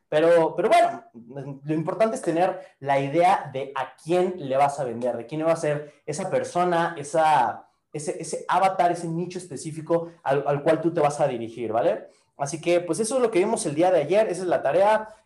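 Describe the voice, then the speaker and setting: Here a man talks at a moderate pace. His pitch is high, with ordinary pitch variation. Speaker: online marketing coach. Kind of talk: online course lesson. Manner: animated.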